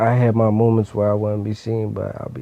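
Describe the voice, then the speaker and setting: A man with an American accent rushes along at a very fast pace amid noticeable background noise. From Philadelphia (West Philly). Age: 20s. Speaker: rapper. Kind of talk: interview. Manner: halting.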